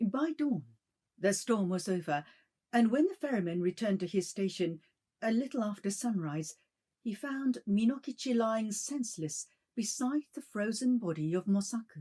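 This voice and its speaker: A dark, mellow, somewhat breathy voice carries lively intonation. It moves at a moderate pace. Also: woman, fairly high pitch for a woman. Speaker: bilingual announcer. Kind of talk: ghost story reading. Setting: shamisen accompaniment.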